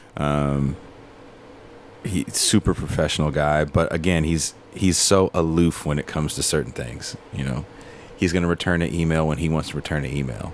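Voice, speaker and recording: There is noticeable background noise as a man talks at a moderate pace with an American accent. His pitch is very deep and low, and his intonation is fairly even. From Richmond, California. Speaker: touring band musician. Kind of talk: casual interview chat.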